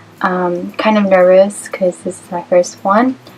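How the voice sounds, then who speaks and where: A woman's medium-pitched voice in an American accent with music in the background. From Los Angeles, US West Coast. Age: 20s. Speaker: vlogger. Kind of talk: casual vlog Q&A. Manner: hesitant, many fillers.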